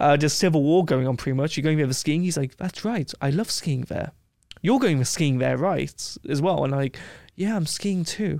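In a very clean recording with a silent background, a man with an English accent speaks fairly quickly at a fairly high pitch with ordinary pitch variation. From England. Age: 20s. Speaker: travel adventurer and video creator. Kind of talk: casual chat. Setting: studio.

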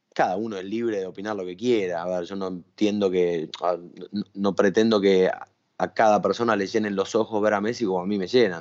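With a Rioplatense accent, a man speaks fairly quickly at a fairly low pitch in a monotone, flat intonation. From Argentina. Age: 30s. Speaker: sports journalist. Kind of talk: casual interview.

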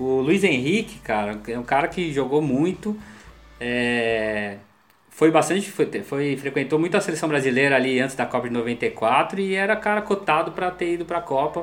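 An unremarkable speaking voice at a moderate pace. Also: man, fairly high pitch for a man, lively intonation. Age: 40s. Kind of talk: casual chat.

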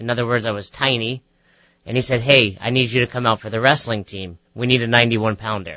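A man's normal speaking voice with an American accent, at medium pitch and a fairly quick pace, with fairly even intonation. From New York, Westchester. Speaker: fitness coach and author. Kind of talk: radio interview. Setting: radio studio.

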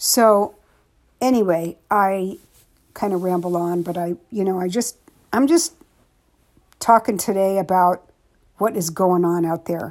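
A woman's medium pitch at a fairly slow pace, with ordinary pitch variation and long, frequent pauses. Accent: American. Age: 60s. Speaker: podcast host, suicide loss advocate. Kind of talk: angry rant on news, fear and COVID, solo monologue. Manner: animated, indignant, rambling, swearing; direct, emphatic, repeats phrases for emphasis.

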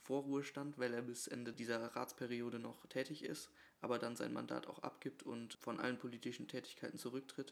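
A man's plain, everyday voice, medium in pitch, at a moderate pace with fairly even intonation. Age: 20s. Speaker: podcast co-host, local politician. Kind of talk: casual chat. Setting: kitchen table at home.

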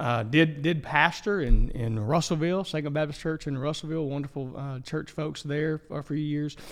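A man with an Arkansas accent speaks at a moderate pace and a fairly high pitch, with fairly even intonation and hardly any pauses. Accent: Southern US (Arkansas). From Arkansas (Ashdown, southwest). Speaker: denominational minister, former interim pastor. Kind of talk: casual interview. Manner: halting, many repetitions.

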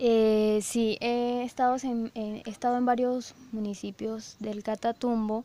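A woman's fairly high voice with a dark, mellow tone, very slow, monotone and flat, with hardly any pauses. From Colombia, Cesar department. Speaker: university researcher. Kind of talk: research interview. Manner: hesitant, many fillers.

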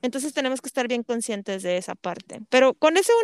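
A woman talks in a high pitch with lively intonation. The sound is dry and close, with no echo. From Monterrey, Mexico. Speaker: podcast host. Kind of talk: interview conversation.

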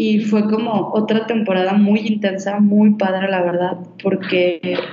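With a Mexican accent, a woman speaks at a fairly slow pace amid noticeable background noise and audible room echo. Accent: Mexican Spanish (Jalisco). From Mexico, Guadalajara. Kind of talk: casual interview, personal storytelling.

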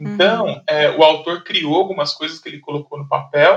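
A man with a somewhat high voice talks rather briskly, his pitch rising and falling in a normal way. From Brazil, São José dos Campos (São Paulo state). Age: 30s. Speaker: educational publishing manager. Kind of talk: interview. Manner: halting.

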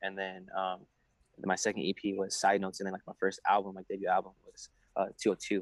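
A man with a Southern Californian accent, fairly low in pitch and fairly quick, in a monotone, flat delivery with big swings in loudness and a dry, close sound with no echo. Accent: Southern California American. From San Diego, California. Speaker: rapper. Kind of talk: casual interview. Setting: video call.

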